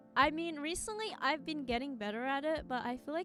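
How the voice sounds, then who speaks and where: Mumbling with lively intonation, a woman speaks over music in the background. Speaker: streamer. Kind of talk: casual chat. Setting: live stream. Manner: fast.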